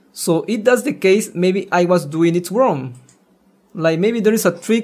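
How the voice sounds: Speaking fairly slowly, a man uses a high pitch and lively intonation. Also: slightly mellow tone.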